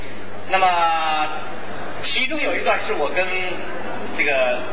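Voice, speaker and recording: Noticeable background noise surrounds a man who talks very slowly. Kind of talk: stage introduction to audience. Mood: cheerful, smiling. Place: stage.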